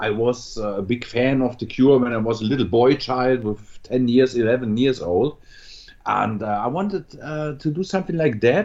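A fairly slow pace with a German accent. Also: man. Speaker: metal musician. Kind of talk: interview. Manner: halting.

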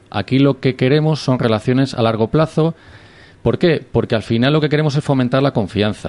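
A man with an ordinary speaking voice at medium pitch, ordinary pitch variation, very even loudness, a fairly quick pace, and a dry, close sound with no echo. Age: 30s. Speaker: business club member. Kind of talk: radio interview.

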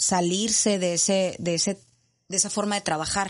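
Her intonation monotone and flat, a woman speaks at a medium pitch and a moderate pace. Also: quiet background. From Monterrey, Mexico. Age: 30s. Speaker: addiction counselor and coach. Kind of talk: interview testimony. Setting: studio.

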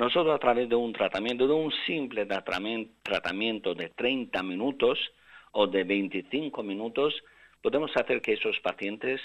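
A man's normal speaking voice at medium pitch, with ordinary pitch variation and a fairly slow pace. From Albanian father, Spanish mother; mother lived in Russia. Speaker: neurosurgeon. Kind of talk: interview.

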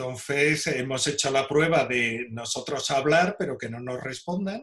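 A man with an ordinary speaking voice talks at a fairly high pitch, using ordinary pitch variation. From Spain, Seville (Andalusia). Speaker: archaeologist and caver. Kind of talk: interview.

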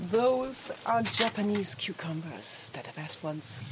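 With noticeable background noise behind her, a woman speaks at a very slow pace, her pitch swinging very widely. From Austria, Switzerland and Spain. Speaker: house and animal caretaker. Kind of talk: casual house tour and personal story. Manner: halting, with repetitions.

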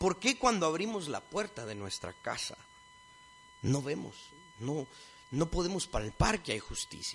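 Over music in the background, a high-voiced man speaks fairly slowly with very wide pitch swings and long, frequent pauses. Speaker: lecturer. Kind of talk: lecture.

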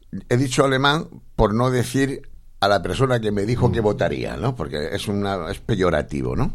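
Vocal fry marks a man's voice as his pitch swings very widely. He keeps a moderate pace. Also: fairly low pitch for a man. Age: 40s. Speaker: radio host. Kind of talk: radio interview and political chat.

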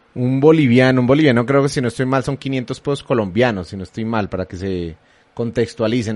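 The speaker has a plain, everyday voice. The pace is fairly quick. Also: man. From Colombia. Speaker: radio host. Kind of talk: live panel discussion hosting. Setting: live streamed radio studio.

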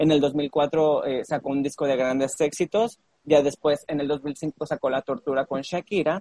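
A man with an ordinary speaking voice talks at a moderate pace and a fairly high pitch, with fairly even intonation and hardly any pauses, in a dry, close sound with no echo. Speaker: podcast co-host. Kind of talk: casual chat.

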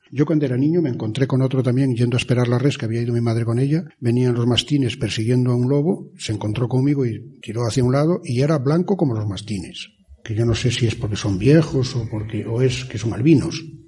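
A man's very fast delivery with hardly any pauses, over noticeable background noise. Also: medium pitch for a man, ordinary pitch variation. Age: 60s. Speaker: former mayor, local storyteller. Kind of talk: interview, storytelling.

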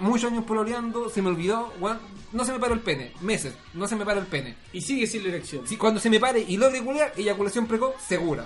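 Noticeable background noise sits behind a man with a Chilean accent and a high pitch. His tone is animated, his pace very fast, and his pitch variation ordinary. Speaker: podcast host. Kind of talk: casual chat.

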